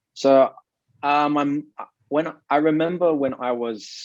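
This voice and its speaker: In an Australian accent, a man speaks at a very slow pace. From South Australia (Adelaide). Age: 20s. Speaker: digital marketing consultant and investor. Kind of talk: interview. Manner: halting.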